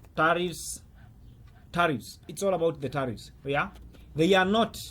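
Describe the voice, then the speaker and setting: A man speaks fairly slowly in a high pitch, with ordinary pitch variation and a non-native accent. The recording is very clean, with a silent background. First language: not English. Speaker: currency trader and trading coach. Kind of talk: market commentary video. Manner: halting, with many fillers.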